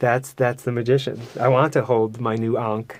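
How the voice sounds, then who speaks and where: His medium-pitched voice moves at a fairly quick pace, the intonation monotone and flat. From New York City, Queens. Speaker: podcast guest. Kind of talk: casual chat. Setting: studio.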